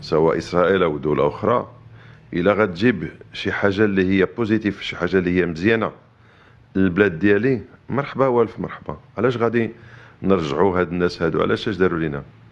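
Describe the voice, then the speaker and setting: Pitch varies in an ordinary way as a man speaks fairly quickly. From Morocco. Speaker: interviewee on politics. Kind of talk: interview answers. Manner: halting, many repeated words.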